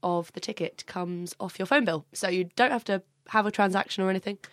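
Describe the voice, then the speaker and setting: A woman with a southern English accent, dry and close with no echo, on a very clean recording with a silent background. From Brighton, southern England. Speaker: charity fashion show organiser. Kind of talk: casual chat.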